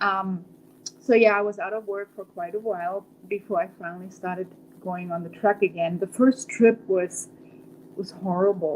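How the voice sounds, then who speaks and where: With a German accent, a woman speaks at a moderate pace in a medium pitch, her intonation fairly even but her loudness swinging widely. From Germany. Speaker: trucker and breast cancer survivor. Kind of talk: interview.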